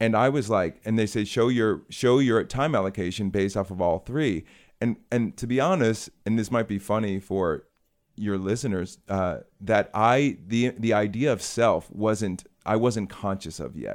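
In an American accent, a man with an unremarkable speaking voice and fairly low pitch talks at a moderate pace on a very clean recording with a silent background. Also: ordinary pitch variation. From US Midwest, Chicago. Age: 30s. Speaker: children's book author, former advertising professional. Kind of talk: casual interview.

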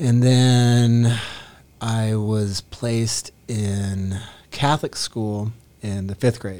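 The man's tone is dark and mellow, at a medium pitch. He speaks at a very slow pace with fairly even intonation. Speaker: worship team guitarist. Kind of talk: testimony in conversation.

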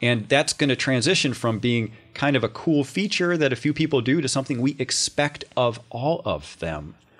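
A man of medium pitch, with vocal fry, talks at a moderate pace with hardly any pauses and ordinary pitch variation. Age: 30s. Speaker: state politician. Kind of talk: casual interview. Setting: studio.

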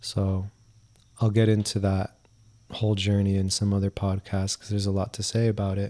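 Over a very clean recording with a silent background, a man with a fairly low pitch and a dark, mellow tone speaks in a monotone, flat intonation. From US East Coast (New Jersey, Miami, Georgia). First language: Spanish. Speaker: podcast co-host. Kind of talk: casual chat.

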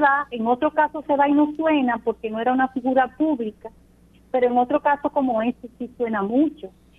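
Her pitch high and her intonation fairly even, a woman speaks at a fairly quick pace. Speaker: police general. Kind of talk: radio interview. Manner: formal.

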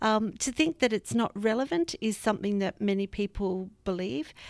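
With an Australian accent, a woman talks at a fairly quick pace, the sound dry and close with no echo on a very clean recording with a silent background. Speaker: arts education director. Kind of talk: interview.

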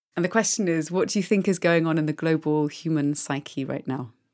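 Talking at a fairly quick pace, a woman has a very deep, low pitch. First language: French. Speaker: podcast host. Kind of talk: interview conversation.

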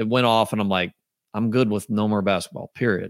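Recorded very cleanly against a silent background, with a dry, close sound and no echo, a man with an unremarkable speaking voice and medium pitch talks at a fairly quick pace. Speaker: podcast host. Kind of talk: casual interview chat.

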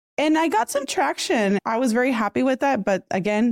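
A woman speaks with a Puerto Rican accent. The sound is dry and close with no echo, on a very clean recording with a silent background. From Puerto Rico. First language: Spanish. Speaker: podcaster and video coach. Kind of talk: casual interview.

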